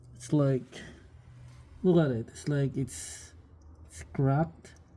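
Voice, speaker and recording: Speaking at a very slow pace, a man uses a fairly high pitch and a dark, mellow tone that is somewhat breathy. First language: not English. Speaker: DIY car maintenance video host. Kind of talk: tutorial. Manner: halting, many fillers.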